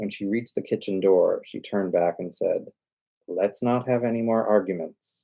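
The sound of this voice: Quiet surroundings behind an unforced reading voice.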